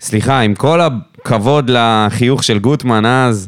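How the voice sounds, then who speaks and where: A medium-pitched man's voice at a fairly slow pace. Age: 30s. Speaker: football podcast co-host. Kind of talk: casual chat.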